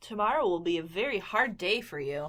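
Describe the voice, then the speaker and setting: A female-sounding put-on character voice at medium pitch, delivered at a fairly quick pace. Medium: read story.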